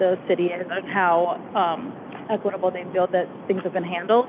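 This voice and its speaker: A woman with an American accent talks at a medium pitch in a monotone, flat intonation, with noticeable background noise behind her. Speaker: consultant. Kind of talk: presentation Q&A.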